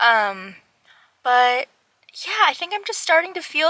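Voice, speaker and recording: In a raised, projected voice with a bright, sharp tone and an American accent, the speech comes at a fairly slow pace with a dry, close sound and no echo. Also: woman. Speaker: small business owner vlogger. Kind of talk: casual vlog talk.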